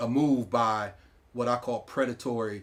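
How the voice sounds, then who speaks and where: With fairly even intonation, this man talks in a medium pitch. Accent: American. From York, Pennsylvania, US. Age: 60s. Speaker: former school board president. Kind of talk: interview. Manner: halting, many fillers.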